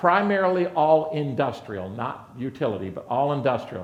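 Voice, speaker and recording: A man speaks with lively intonation at a moderate pace, his pitch fairly high. Audible room echo surrounds his voice. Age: 60s. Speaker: conference speaker, reliability executive. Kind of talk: conference presentation. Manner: animated.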